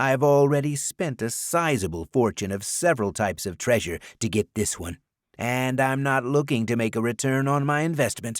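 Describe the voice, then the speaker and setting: On a very clean recording with a silent background, a man with a normal speaking voice talks at a medium pitch and a moderate pace. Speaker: audiobook narrator. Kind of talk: audiobook narration.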